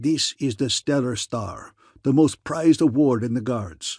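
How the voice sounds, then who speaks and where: A man's growling, put-on character voice of medium pitch at a moderate pace, dry and close with no echo. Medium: read story. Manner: pompous, boastful.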